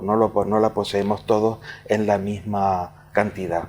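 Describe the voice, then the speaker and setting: A man speaks fairly slowly in a fairly low, flat monotone. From Canary Islands, Tenerife (La Laguna). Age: 70s. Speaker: writer and poet. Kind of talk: interview. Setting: casino hall. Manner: halting, many fillers and repetitions.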